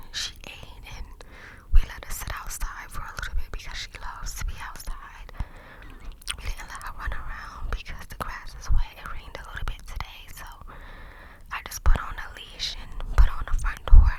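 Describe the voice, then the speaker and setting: Whispering at a moderate pace, a woman swings widely in loudness over noticeable background noise. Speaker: ASMR creator, puppy owner. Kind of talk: casual talk to camera, ASMR story time. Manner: whispered, cupped-mouth ASMR.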